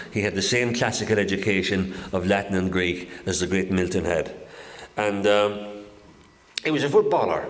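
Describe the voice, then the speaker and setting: Over noticeable background noise and audible room echo, a man with a Kerry accent talks in a fairly low voice with fairly even intonation. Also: moderate pace. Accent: Kerry Irish. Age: 70s. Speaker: local historian giving a talk. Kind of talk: public talk to an audience.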